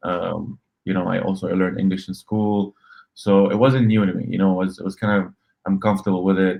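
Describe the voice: Moving at a fairly quick pace, a man speaks low, with vocal fry and little pitch movement.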